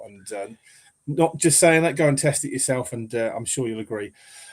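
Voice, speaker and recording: A man with an English accent speaks at a fairly quick pace. His pitch is medium, with ordinary pitch variation. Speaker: football podcast host. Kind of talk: casual chat.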